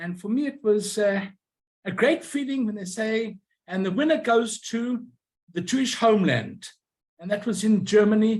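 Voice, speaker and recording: Pausing long and often, a man with a Southern African accent speaks in a high pitch with ordinary pitch variation. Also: moderate pace. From Rhodesia. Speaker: stamp collector and YouTuber. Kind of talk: lecture.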